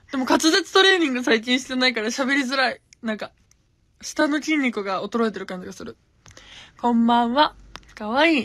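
Against a quiet background, a woman with a high pitch talks in an animated tone at a fairly quick pace. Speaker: gravure idol livestreamer; streamer chatting with viewers. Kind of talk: casual livestream chat. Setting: Instagram live. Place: home room. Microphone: phone near.

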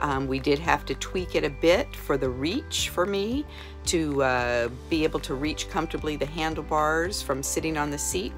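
A woman speaks at an even, moderate speed while clear music sounds behind her. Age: 60s. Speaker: customer giving product review. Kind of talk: testimonial interview answer. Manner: casual, conversational. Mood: warm, enthusiastic. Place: home room. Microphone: phone near.

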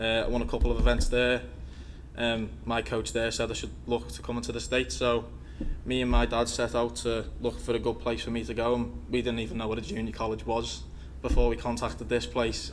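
A man at a moderate pace, with audible room echo. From England, Liverpool. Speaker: college golfer, international student. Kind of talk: speech. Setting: board meeting.

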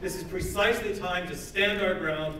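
Speech at a moderate pace, with audible room echo and loud background noise. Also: man. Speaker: member of parliament. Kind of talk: rally speech. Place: hall. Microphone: camera far.

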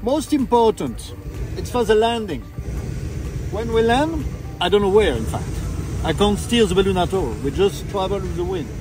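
Faint music sits behind a man who speaks at a moderate pace with long, frequent pauses in a dry sound with no echo. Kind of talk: safety briefing. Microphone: phone near.

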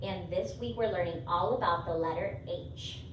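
Noticeable background noise is present. Over it, a woman talks at a moderate pace. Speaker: early-years teacher. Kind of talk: lesson for young children. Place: classroom. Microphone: camera far.

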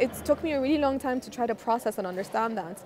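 A woman speaks very fast at a fairly high pitch. The sound is dry with no echo, though background noise is noticeable. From Egypt. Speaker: astronaut and nonprofit founder. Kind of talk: interview. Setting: conference event. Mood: reflective, earnest. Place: hall. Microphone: lapel.

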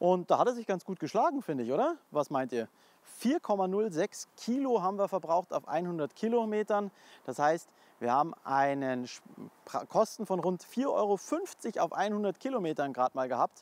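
Using long, frequent pauses, a man with a high pitch speaks at a moderate pace in a dry sound with no echo. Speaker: car reviewer. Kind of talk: car review summary to camera. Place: street.

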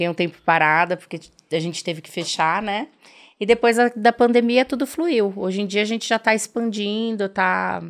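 A woman's voice with lively intonation at a moderate pace, big swings in loudness, and a quiet background. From Brazil, interior of Paraná. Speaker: dentist and aesthetics entrepreneur; podcast guest. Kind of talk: interview. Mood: friendly, smiling. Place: studio. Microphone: studio mic.

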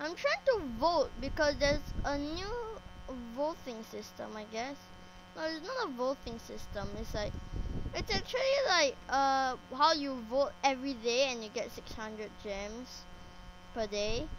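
The delivery is fairly slow, with lively intonation. Noticeable background noise sits behind it. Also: woman, high pitch for a woman. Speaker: Minecraft YouTuber. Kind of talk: casual gameplay commentary. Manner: repetitive, rambling, excitable.

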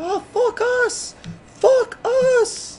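Squeaky and extremely high, this is a put-on character voice. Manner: mispronouncing 'focus' comically.

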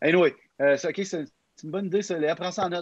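A man with a Quebec accent talking at a very fast pace over a quiet background. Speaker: youth podcast facilitator. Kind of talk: casual chat. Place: home room. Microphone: video call.

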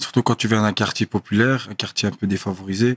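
Against a quiet background, a man talks in a fairly low pitch with monotone, flat intonation. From Brussels, Belgium. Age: 30s. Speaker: professional boxer; podcast guest. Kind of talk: casual interview. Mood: calm, reflective. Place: studio. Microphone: studio mic.

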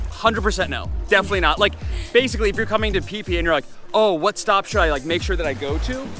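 A man at a very fast pace, dry sound with no echo, with clear music in the background. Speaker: travel vlogger. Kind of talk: casual vlog chat. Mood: cheerful, frank opinion. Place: beach. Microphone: phone near.

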